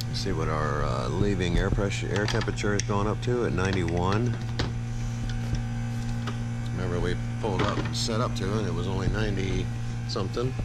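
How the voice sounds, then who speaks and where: Loud background noise runs through the clip. The pace is fairly quick. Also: man. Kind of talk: work narration. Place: home room. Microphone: phone near.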